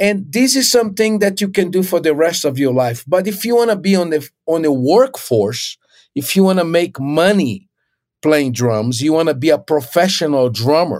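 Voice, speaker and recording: With a Portuguese accent, a man speaks at a moderate pace in a high pitch that swings very widely. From Brazil (Recife, northeast). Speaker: drummer and music professor. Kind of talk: casual interview.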